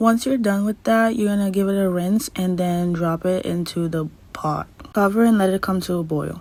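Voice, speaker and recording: A woman with a non-native accent and a medium pitch. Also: ordinary pitch variation, moderate pace. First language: not English. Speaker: cooking instructor. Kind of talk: tutorial. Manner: casual.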